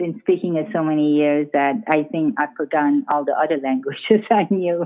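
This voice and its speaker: A woman with a very deep, low voice speaks with ordinary pitch variation. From Iran. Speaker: author. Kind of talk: interview. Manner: halting, many fillers.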